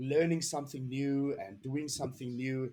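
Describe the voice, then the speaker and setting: Animated in tone, a man with a South African accent speaks at a fairly high pitch with ordinary pitch variation. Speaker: DevOps engineer. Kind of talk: podcast interview.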